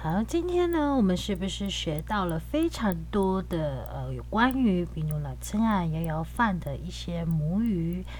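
Audible room echo surrounds a woman who speaks at a fairly slow pace with hardly any pauses. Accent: Taiwanese. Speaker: podcast host. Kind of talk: casual podcast chat with language teaching.

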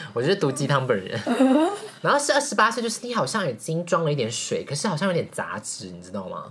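Against noticeable background noise, a woman talks at a very fast pace with big swings in loudness. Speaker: podcast host. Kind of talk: casual chat. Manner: animated.

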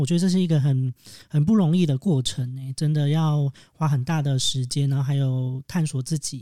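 The recording is very clean, with a silent background. A man speaks with a dark, mellow tone at a fairly high pitch. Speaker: podcast co-host. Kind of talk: casual chat, podcast interview.

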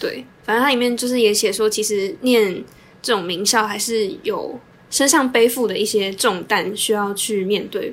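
Using an unremarkable speaking voice, a woman keeps a moderate pace and ordinary pitch variation. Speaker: podcast co-host, social work student. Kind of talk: casual chat.

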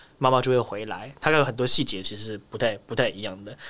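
Fairly quick speech from a man with a normal speaking voice, medium pitch and fairly even intonation. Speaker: wildlife keeper. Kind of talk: interview.

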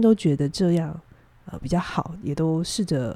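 A woman's fairly low, dark and mellow voice, calm in tone, with ordinary pitch variation at a moderate pace. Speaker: psychologist. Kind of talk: advice-giving chat on a podcast. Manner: calm, measured with many fillers.

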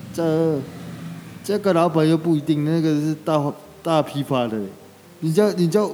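A man's fairly high voice at a fairly slow pace, ordinary pitch variation, long, frequent pauses and noticeable background noise. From Taiwan, Shuangxi (New Taipei). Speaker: street vendor, wheelchair user. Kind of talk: interview.

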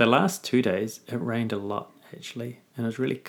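A man's medium-pitched voice in a New Zealand accent, very slow, with fairly even intonation. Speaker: teacher. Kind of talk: casual chat.

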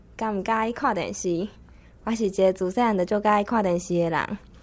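In a quiet background, a woman speaks in a normal speaking voice at medium pitch with fairly even intonation. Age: 20s. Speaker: university student. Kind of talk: prepared spoken talk.

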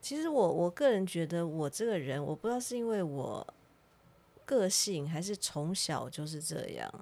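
Very wide pitch swings mark a woman's dark, mellow tone at a fairly low pitch and moderate pace, on a very clean recording with a silent background. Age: 50s. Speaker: podcast host. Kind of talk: casual chat. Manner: animated.

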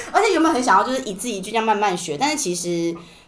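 A woman talks very fast with lively intonation. There is audible room echo. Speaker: podcast host. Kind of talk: casual chat.

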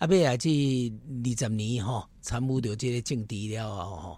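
Speaking at a fairly slow pace with a Taiwanese accent, a man with a medium-pitched, somewhat breathy voice is heard on a very clean recording with a silent background. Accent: Taiwanese Hokkien speaker. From Taiwan, Taipei Neihu. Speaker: city councillor candidate. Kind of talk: interview, casual chat.

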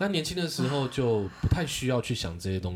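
A man with a Taiwanese accent speaks at a moderate pace. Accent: Taiwanese Mandarin. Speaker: married man sharing his life. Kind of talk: casual chat.

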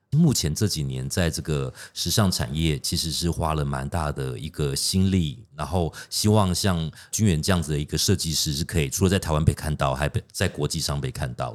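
Very deep, low male voice with vocal fry, a moderate pace, hardly any pauses and ordinary pitch variation, on a very clean recording with a silent background. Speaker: podcast co-host. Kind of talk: interview.

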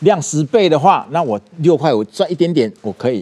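This man has a fairly high pitch, a dark, mellow tone and a Taiwanese accent. He talks at a fairly quick pace with very wide pitch swings. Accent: Taiwanese Mandarin. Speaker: businessman. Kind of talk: interview. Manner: halting, many fillers and repetitions.

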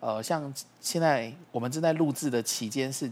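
A plain, everyday voice from a man, medium in pitch, with ordinary pitch variation. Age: 40s. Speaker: astrology teacher. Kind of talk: casual explanatory chat.

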